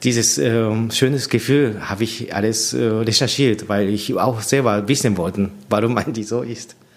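Over noticeable background noise, a man with a Japanese accent and a medium pitch talks at a moderate pace with fairly even intonation. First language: Japanese (speaking German). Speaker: orchestra conductor. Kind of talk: interview. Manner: halting, with many fillers.

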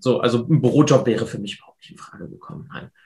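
A man speaks in a normal speaking voice at medium pitch with ordinary pitch variation, over a quiet background. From Hannover, northern Germany. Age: 20s. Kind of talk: interview. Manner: casual.

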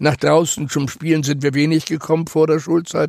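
The speaker is male. His intonation stays flat and monotone. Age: 80s+. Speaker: Holocaust survivor. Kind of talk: life story interview.

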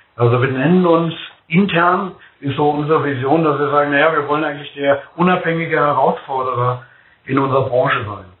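A man with a fairly high pitch talks at a fairly quick pace with ordinary pitch variation. Audible room echo surrounds his voice. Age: 50s. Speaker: food company executive. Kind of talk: podcast interview.

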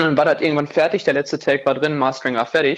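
Speaking fairly briskly, a man uses a rather high voice. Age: 20s. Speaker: rock band frontman. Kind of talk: casual interview.

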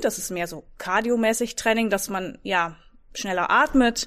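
A woman with a Dutch accent and fairly high pitch, in a very clean recording with a silent background. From Netherlands. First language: Dutch (speaking German). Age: 40s. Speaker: fitness trainer. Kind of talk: casual interview.

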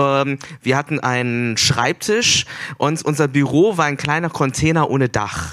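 Fairly slow speech from a man, fairly high in pitch, with ordinary pitch variation. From Germany. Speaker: festival curator and artist. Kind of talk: on-stage conversation. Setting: stage at a festival. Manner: halting, many fillers.

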